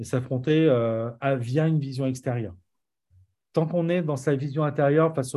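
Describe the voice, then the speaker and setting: A man's dark, mellow tone at medium pitch, fairly even intonation, moderate pace. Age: 40s. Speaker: entrepreneur and musician. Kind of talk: casual interview.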